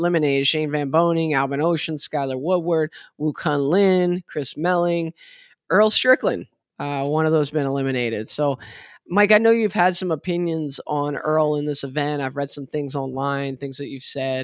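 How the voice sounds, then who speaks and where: Here a man has an unremarkable speaking voice, fairly high in pitch with ordinary variation, at a moderate pace. The recording is very clean with a silent background. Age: 50s. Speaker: pool podcast host. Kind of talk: casual chat.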